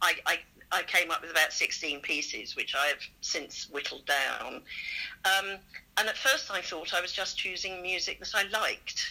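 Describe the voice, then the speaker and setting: With a southern English accent, a woman talks at a moderate pace. Her medium pitch has ordinary pitch variation and a bright, sharp tone. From southern England, Surrey. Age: 60s. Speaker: choir singer and charity fundraiser. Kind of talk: casual interview.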